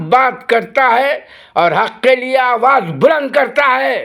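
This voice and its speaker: A man's extremely high-pitched voice with a bright, sharp tone. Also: very clean recording, silent background. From India. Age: 70s. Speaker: retired policeman making video replies. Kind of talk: angry video rant. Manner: animated, loud.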